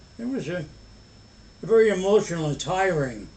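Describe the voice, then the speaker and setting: A man talks with lively intonation at a moderate pace, his voice carrying audible room echo. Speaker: elderly grandfather. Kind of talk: family conversation. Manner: halting.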